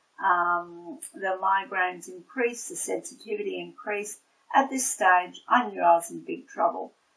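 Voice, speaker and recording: This is a woman with an Australian accent. She speaks at a moderate pace. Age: 60s. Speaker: nurse and patient. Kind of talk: testimony. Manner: halting, many fillers.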